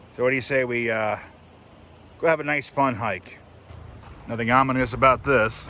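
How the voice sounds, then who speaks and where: A man at a moderate pace with fairly even intonation, long and frequent pauses, and noticeable background noise. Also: medium pitch for a man. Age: 40s. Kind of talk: casual talk to camera while hiking.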